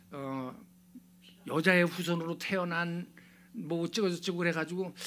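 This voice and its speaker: A loud male voice with ordinary pitch variation. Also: very clean recording, silent background. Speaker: pastor. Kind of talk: sermon.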